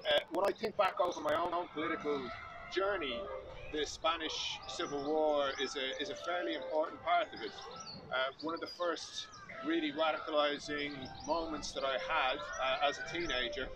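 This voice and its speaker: With an Irish accent, a man talks at a moderate pace against noticeable background noise. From Ireland. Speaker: magazine editor, speaker. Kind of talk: commemoration speech. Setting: outdoor memorial gathering.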